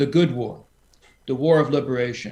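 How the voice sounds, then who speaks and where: Somewhat breathy, a man talks in a fairly high pitch with ordinary pitch variation. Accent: American. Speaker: foreign policy expert. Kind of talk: panel discussion. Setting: video call.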